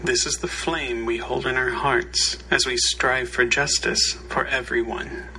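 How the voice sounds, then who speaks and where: Against noticeable background noise, the speech moves at a fairly slow pace with hardly any pauses. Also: man. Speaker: worship leader. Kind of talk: liturgy and reading aloud.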